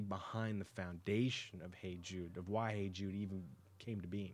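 A man talks at a moderate pace with fairly even intonation and a fairly low pitch. His is an unremarkable speaking voice. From US, raised in Texas. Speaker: music producer. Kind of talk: casual interview. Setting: hotel, live radio.

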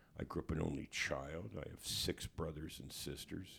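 A man's very deep, low voice with vocal fry and a Canadian accent, at a fairly slow pace. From Hamilton, Ontario, Canada. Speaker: musician and author. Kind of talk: interview. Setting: studio. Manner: halting.

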